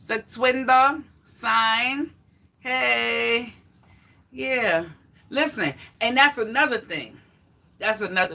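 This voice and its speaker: A loud woman's voice, fairly high in pitch, at a very slow pace with lively intonation and long, frequent pauses. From New York, the Bronx. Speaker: fitness vlogger. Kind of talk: casual livestream chat. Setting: live stream, exercising while talking.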